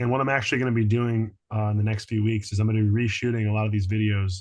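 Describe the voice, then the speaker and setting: Somewhat breathy, a man speaks very fast at a medium pitch in a monotone, flat intonation. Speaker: healing arts teacher. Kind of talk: online group class wrap-up. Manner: casual, warm.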